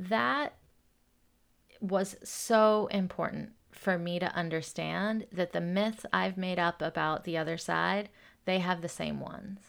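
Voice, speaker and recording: A woman with an unremarkable speaking voice talks at a fairly slow pace, her fairly low pitch moving with ordinary variation, on a very clean recording with a silent background. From US South, Atlanta, Georgia. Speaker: activist and nonprofit leader. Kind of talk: interview.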